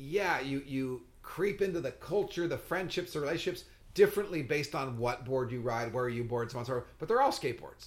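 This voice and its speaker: Somewhat breathy and animated in tone, a man with an American accent talks at a fairly quick pace, his fairly high pitch rising and falling in lively intonation. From Southern California. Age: 60s. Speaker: podcast host and skateboarder. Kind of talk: casual chat.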